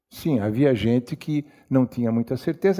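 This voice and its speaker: A man's dark, mellow, medium-pitched voice, with lively intonation at a moderate pace. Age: 80s+. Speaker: writer. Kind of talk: public talk. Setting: library auditorium with audience.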